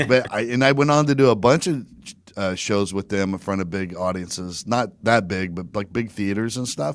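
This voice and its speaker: This man has an ordinary speaking voice, fairly low in pitch, with an American accent. He talks at a moderate pace with ordinary pitch variation. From US, Virginia Beach. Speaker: stand-up comedian and podcaster, former state trooper. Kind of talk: casual podcast interview.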